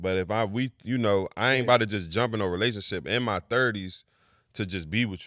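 Speaking at a fairly quick pace with an American accent, a man uses ordinary pitch variation and a bright, sharp tone on a very clean recording with a silent background. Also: fairly low pitch for a man. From Maryland, US. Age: 30s. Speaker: DJ and podcast host. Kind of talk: casual chat.

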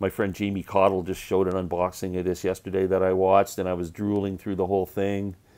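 A man talks very fast with hardly any pauses, his very deep, low, dark and mellow voice flat and monotone. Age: 60s. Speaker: music collector YouTuber. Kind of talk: unboxing video monologue. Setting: home basement. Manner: casual, lots of fillers. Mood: cheerful, enthusiastic. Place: home room. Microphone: earbuds.

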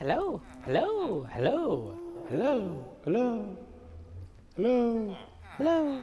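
Over clear background noise, a put-on character voice with fairly high pitch speaks at a very slow pace.

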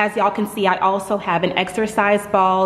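At a moderate pace, a woman is talking. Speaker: home gym vlogger. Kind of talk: casual vlog chat. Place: garage. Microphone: phone near.

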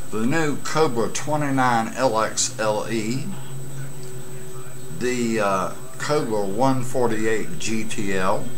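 A man talks at a very slow pace, leaving long, frequent pauses. His pitch varies in an ordinary way, and music plays in the background. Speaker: CB radio hobbyist. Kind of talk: casual vlog chat. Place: home room. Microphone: webcam.

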